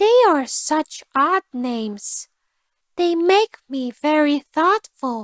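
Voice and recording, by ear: A woman's put-on character voice, high-pitched with big pitch swings, at a very slow pace, in a dry, close sound with no echo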